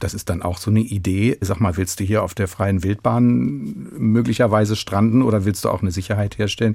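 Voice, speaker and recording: A man with fairly low pitch, a dark, mellow tone and vocal fry, lively intonation, a fairly quick pace with hardly any pauses, on a very clean recording with a silent background. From Hannover, northern Germany. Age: 60s. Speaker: concert pianist. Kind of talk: radio interview.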